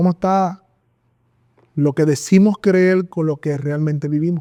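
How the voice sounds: A man with a fairly high pitch speaks at a fairly slow pace, his tone dark and mellow and his intonation fairly even.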